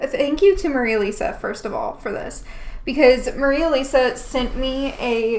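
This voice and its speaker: Room echo can be heard as a woman with a high voice speaks fairly slowly. Her tone is animated and her intonation lively. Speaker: painting streamer. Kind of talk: live painting tutorial stream.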